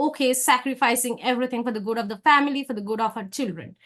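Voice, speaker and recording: A woman talks in a Bengali accent at a high pitch. Her intonation stays fairly even. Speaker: academic researcher. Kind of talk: conference presentation.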